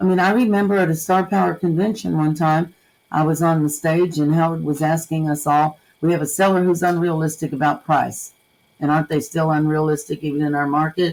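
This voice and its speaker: A woman with an American accent and a very deep, low pitch, fairly even intonation, very even loudness and a fairly quick pace, in a very clean recording with a silent background. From US Northeast (New Jersey). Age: 70s. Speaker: real estate broker. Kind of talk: interview.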